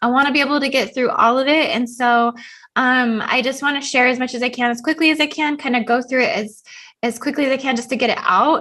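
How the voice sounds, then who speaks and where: A woman speaks in a high, raised, projected voice with a bright, sharp tone. Her pace is very fast and her intonation fairly even. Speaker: spiritual channel host. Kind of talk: solo video talk.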